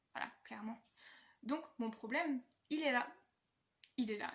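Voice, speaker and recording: A somewhat breathy female voice, moderately paced, with ordinary pitch variation. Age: 20s. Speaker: vlogger. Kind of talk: personal vlog monologue.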